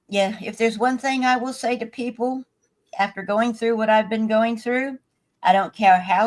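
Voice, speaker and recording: Moderate speed from a woman with a plain, everyday voice pitched fairly high. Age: 60s. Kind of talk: casual chat.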